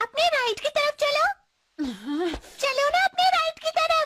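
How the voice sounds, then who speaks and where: In a put-on character voice, a squeaky, female-sounding voice reaches an extremely high pitch. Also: moderate pace. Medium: fan dub. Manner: nagging, preachy.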